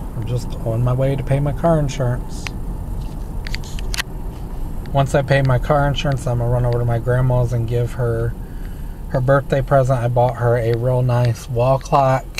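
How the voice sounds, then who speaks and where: A man's flat, monotone voice with long, frequent pauses, dry and echo-free, amid noticeable background noise. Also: moderate pace. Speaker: driver vlogger. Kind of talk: casual vlog chat. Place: car. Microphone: phone near.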